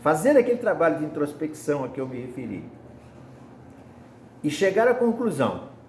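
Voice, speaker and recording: Audible room echo and noticeable background noise surround a man whose voice makes very wide pitch swings. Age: 70s. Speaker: spiritist lay preacher. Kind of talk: sermon.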